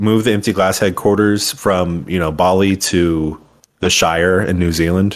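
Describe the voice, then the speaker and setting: A man with a normal speaking voice talks at a moderate pace, his pitch fairly low with ordinary variation, on a very clean recording with a silent background. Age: 20s. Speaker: podcast co-host. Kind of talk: casual chat.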